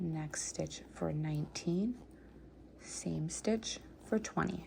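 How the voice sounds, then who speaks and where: A soft-spoken woman's fairly low, somewhat breathy voice, dark and mellow in tone, at a very slow pace with ordinary pitch variation. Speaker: crochet instructor. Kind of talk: tutorial. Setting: home at night. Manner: counting stitches steadily.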